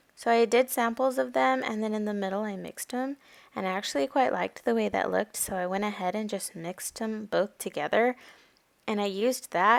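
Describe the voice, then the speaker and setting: A woman with an unremarkable speaking voice and a medium pitch uses lively intonation, recorded very cleanly with a silent background and a dry, close sound with no echo. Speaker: mom lifestyle vlogger. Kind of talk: casual vlog narration.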